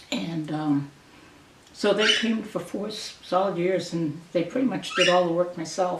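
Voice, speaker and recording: A woman with an American accent and a fairly low pitch, amid noticeable background noise and audible room echo. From Maine, US (Grand Lake Stream). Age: 70s. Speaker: local resident sharing memories. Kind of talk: oral history interview. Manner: halting, with many fillers.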